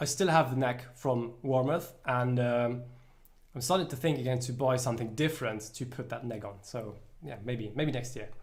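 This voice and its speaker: Somewhat breathy male voice of medium pitch, with ordinary pitch variation, a moderate pace and audible room echo. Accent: British. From Luxembourg. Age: 20s. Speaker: musician. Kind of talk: casual chat. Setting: livestream. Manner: halting.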